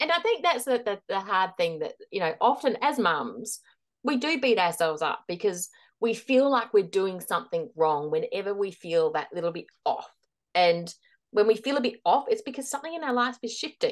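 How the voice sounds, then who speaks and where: A woman's fairly high voice with an Australian accent, very wide pitch swings, moderate pace, and a quiet background. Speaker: transition and leadership coach. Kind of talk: interview, giving advice.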